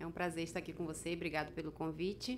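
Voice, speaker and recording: A woman's fairly low voice in a monotone, flat intonation. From Brazil, Amazonas (Manaus, riverside community). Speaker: author, accident survivor. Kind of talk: interview. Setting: studio.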